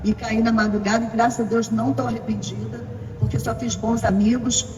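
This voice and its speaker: Music plays in the background as a woman with a fairly high pitch speaks amid audible room echo. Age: 70s. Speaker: veteran ballroom dancer. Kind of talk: panel talk with audience.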